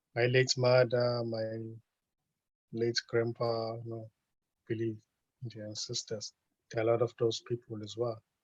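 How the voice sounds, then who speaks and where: A man with a slight South African accent speaks at a moderate pace in a somewhat breathy, monotone, flat voice, with long and frequent pauses, big swings in loudness, and a dry, close sound with no echo. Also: medium pitch for a man. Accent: South African, light. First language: Zulu. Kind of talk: casual chat. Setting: video call. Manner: halting.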